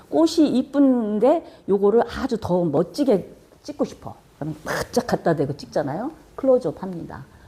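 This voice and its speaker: A woman speaks at a moderate pace with a somewhat breathy, dark and mellow tone. Her pitch sits in the middle of her range and swings very widely. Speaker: video production instructor. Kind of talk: lecture.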